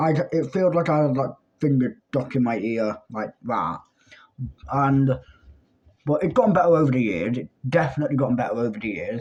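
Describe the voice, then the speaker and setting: Lively intonation marks this speech in a British accent, delivered at a moderate pace with long, frequent pauses. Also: man, medium pitch for a man. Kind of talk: storytime monologue. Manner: loud.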